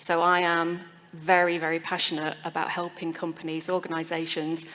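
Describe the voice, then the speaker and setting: Over noticeable background noise, a woman talks at a fairly quick pace in a monotone, flat way. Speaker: engineer and climate consultant. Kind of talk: panel discussion.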